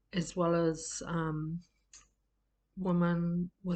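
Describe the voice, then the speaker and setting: The woman's voice has a fairly low pitch and monotone, flat intonation. She speaks at a very slow pace. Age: 60s. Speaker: group facilitation trainer. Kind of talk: personal introduction talk. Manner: hesitant, many fillers.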